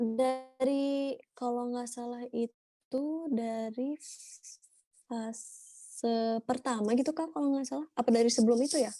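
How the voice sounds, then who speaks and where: A woman speaks at a fairly slow pace in a high pitch with a dark, mellow tone. The sound is dry and close, with no echo. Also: fairly even intonation. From Indonesia, Bandung (Sundanese). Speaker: university student. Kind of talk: casual interview.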